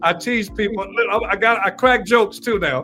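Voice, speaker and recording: Noticeable background hum behind a man's raised, projected delivery. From Atlanta, Georgia. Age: 60s. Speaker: lawyer and former law enforcement officer. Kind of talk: podcast interview.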